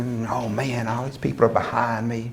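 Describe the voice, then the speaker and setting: A man with an American accent speaks at medium pitch and a moderate pace. Noticeable background noise runs behind him. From US South. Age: 60s. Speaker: motivational speaker. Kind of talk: speech to an audience. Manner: animated.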